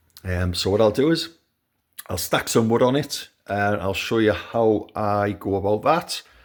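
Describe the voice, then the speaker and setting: In a Geordie accent, a man with a fairly low pitch and ordinary pitch variation talks at a fairly slow pace. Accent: Geordie (Newcastle). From Newcastle, northern England. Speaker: home owner video maker. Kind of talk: casual product review. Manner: hesitant, many fillers.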